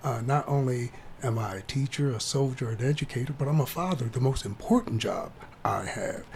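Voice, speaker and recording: With an American accent, this voice moves at a fairly quick pace against noticeable background noise. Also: man, medium pitch for a man, ordinary pitch variation. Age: 60s. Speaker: career coach and army veteran. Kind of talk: casual chat.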